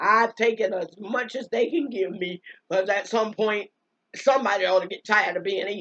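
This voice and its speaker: A woman's fairly high voice, animated in tone, with ordinary pitch variation at a moderate pace. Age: 60s. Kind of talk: religious monologue. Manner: halting.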